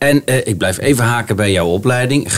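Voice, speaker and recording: Noticeable background noise sits behind a man talking at a moderate pace. His pitch is medium, with ordinary variation. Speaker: mayor hosting podcast. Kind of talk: casual interview. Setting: community centre.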